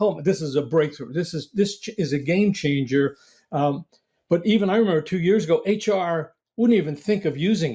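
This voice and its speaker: A man's high-pitched voice with a dark, mellow tone, ordinary pitch variation and a fairly quick pace. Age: 70s. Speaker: CEO of a hiring company. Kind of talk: interview. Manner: enthusiastic.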